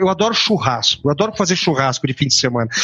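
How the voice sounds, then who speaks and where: Talking at a very fast pace, a man uses a high pitch and lively intonation. There is noticeable background noise. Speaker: author and business consultant. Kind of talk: interview.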